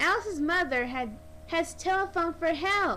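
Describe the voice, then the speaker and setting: Someone speaks in a put-on character voice at a moderate pace over clear background noise. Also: woman, extremely high pitch for a woman. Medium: read story. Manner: eager, cheerful.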